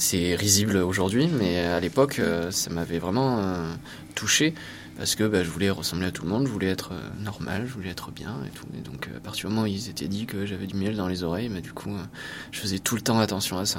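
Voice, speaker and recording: Background noise is noticeable as a man speaks at a fairly quick pace. His pitch varies in an ordinary way. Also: fairly low pitch for a man. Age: 30s. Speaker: high school history-geography teacher. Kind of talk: testimony. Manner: halting.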